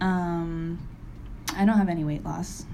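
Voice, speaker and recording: A woman speaks with an American accent at a fairly low pitch and moderate pace. Her intonation is fairly even, and room echo is audible. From Springfield, Massachusetts. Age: 20s. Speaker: recovery meeting speaker. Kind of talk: testimony.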